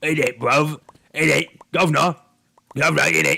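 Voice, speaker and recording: Using a raspy put-on character voice in a British accent, a man speaks at a moderate pace. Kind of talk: slangy, street-style.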